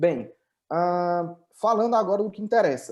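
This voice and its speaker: In a northeastern Brazilian accent, a man speaks at a moderate pace. His pitch variation is ordinary. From Brazil, Northeast (Ceará). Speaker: tech company founder and CEO. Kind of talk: webinar presentation. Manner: hesitant, many filler repetitions.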